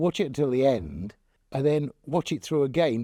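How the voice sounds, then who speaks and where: In a West Country accent, a man with a dark, mellow tone and fairly high pitch speaks at a moderate pace with lively intonation, the sound dry and close with no echo. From Devon, England (Torquay). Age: 60s. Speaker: local resident sharing memories. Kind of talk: interview testimony. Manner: halting.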